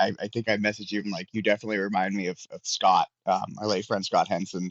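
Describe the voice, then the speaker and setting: The speaker talks at a very fast pace in a Pittsburgh accent. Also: man. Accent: mild Pittsburgh. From Pittsburgh, US. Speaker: indie wrestler. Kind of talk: casual chat.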